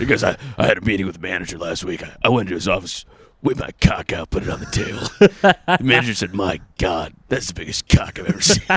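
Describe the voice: A man's put-on character voice, gravelly and fairly low, rattling along at a very fast pace with lively intonation.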